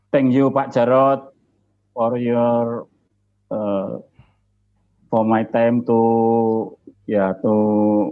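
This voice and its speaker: A man talks at a very slow pace with long, frequent pauses. His intonation is monotone and flat, and his loudness very even. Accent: Javanese. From Indonesia, Yogyakarta. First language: Indonesian or Javanese. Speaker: society chairman. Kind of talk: opening speech.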